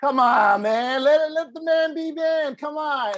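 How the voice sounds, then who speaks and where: A man speaks at a moderate pace. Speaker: podcast host. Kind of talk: casual chat.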